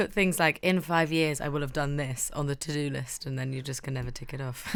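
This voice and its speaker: In a London accent, a woman with a very deep, low voice speaks at a fairly quick pace with fairly even intonation. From North London. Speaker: university community member. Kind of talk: casual chat.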